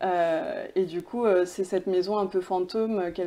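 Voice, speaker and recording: A woman's dark, mellow tone at medium pitch, with monotone, flat intonation and a moderate pace. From France, born in Pakistan, arrived age 3. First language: Urdu (speaking French). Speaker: film director. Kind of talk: interview. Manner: hesitant, many fillers.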